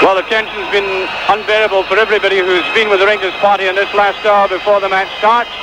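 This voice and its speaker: Noticeable background noise surrounds a man talking at a very fast pace in a raised, projected voice. His pitch is high, and his loudness stays very even. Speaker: football commentator. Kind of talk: live football commentary. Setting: stadium. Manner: animated; rapid-fire.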